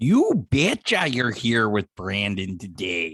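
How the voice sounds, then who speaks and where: A man's put-on character voice in a Minnesota accent, raspy and fairly low-pitched, at a fairly slow pace. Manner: exaggerated, playful.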